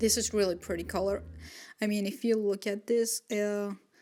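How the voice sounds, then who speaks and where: A woman's mumbled speech with a non-native accent, medium in pitch and flat, monotone in intonation, over background music. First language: not English. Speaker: watercolor artist, YouTuber. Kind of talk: voiceover narration of speedpaint. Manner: hesitant, many fillers; mumbling.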